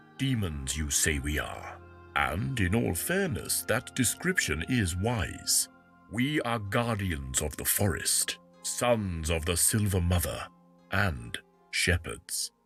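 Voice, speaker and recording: Over faint music in the background, a man uses a put-on character voice, very deep and low in pitch, at a fairly slow pace. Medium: video game. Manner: archaic, slow.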